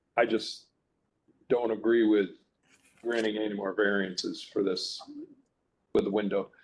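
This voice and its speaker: Speaking with long, frequent pauses, a man with a fairly low pitch keeps a monotone, flat intonation. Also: moderate pace. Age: 60s. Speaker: review board member. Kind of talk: public hearing. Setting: hearing room, video conference.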